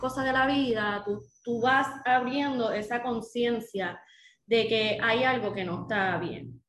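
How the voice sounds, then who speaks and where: A woman speaks at a very slow pace with a fairly high pitch. Her pitch varies in an ordinary way, and the room echo is audible. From Puerto Rico, Dorado area (Bo. Bonito). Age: 30s. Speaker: second-hand clothing business owner. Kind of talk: casual interview.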